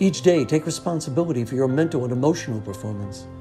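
Music plays in the background while a man speaks with medium pitch and a calm tone. His intonation is lively. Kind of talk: inspirational voiceover narration. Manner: calm, reflective, encouraging.

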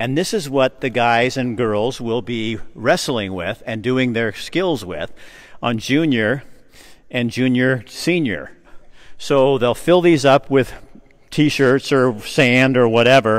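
A man speaks with an American accent at a very slow pace. His pitch varies in an ordinary way. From US Pacific Northwest. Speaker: video host touring a gym. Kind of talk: casual walkthrough interview. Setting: indoors at a gym, walking tour. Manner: animated. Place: gym. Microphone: handheld.

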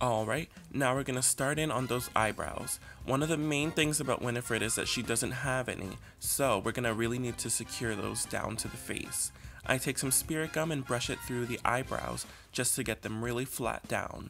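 A man in an upbeat tone at a moderate pace, with clear music in the background. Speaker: makeup artist. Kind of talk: makeup tutorial narration. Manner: casual, upbeat.

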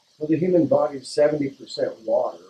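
A man talks at a moderate pace while noticeable background noise sits underneath. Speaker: water filtration business owner. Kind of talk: interview explaining product. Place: shop.

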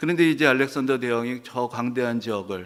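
A plain, everyday voice at a fairly quick pace. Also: man. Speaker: pastor. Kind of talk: sermon.

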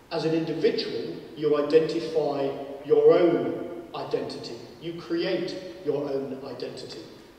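Strong room echo surrounds a man speaking at a fairly slow pace. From northern England. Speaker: professor and debate chair. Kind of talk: moderated public debate. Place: hall.

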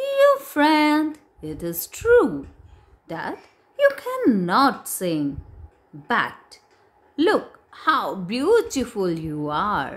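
A woman with an Indian accent speaks with long, frequent pauses and big swings in loudness. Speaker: English teacher. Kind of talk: lesson. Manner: slow, explanatory.

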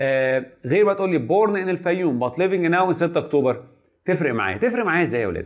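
A man with a Cairo accent talks at a very fast pace in a high pitch. His tone is animated and his intonation lively, against a quiet background. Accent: Egyptian Arabic (Cairene). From Egypt. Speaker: medical lecturer. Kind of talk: lecture. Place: classroom.

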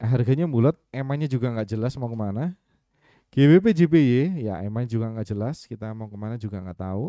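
A man with a dark, mellow tone talks at a fairly quick pace with lively intonation, the sound dry with no echo and the background quiet. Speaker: trading mentor. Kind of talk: live webinar tutorial. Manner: halting, stumbling over words; casual, thinking aloud. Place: home room.

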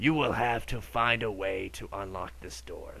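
Using a put-on character voice, a man speaks with a very deep, low pitch. His pace is fairly slow, and background noise is clear. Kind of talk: solemn, sermon-like. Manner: grave, ominous.

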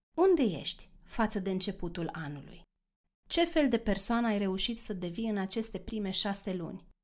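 A woman at medium pitch in a normal speaking voice, with lively intonation and a moderate pace, in a very clean recording with a silent background. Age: 40s. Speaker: life coach and podcast host. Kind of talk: solo podcast monologue.

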